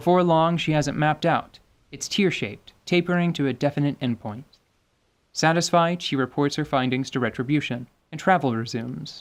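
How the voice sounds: Speaking at a moderate pace, a man uses a fairly high pitch with ordinary pitch variation.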